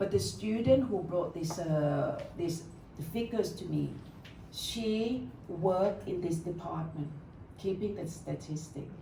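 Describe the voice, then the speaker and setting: A woman's fairly low, slow-paced voice with ordinary pitch variation over noticeable background noise. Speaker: meditation teacher. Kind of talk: live talk to an audience. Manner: warm, welcoming.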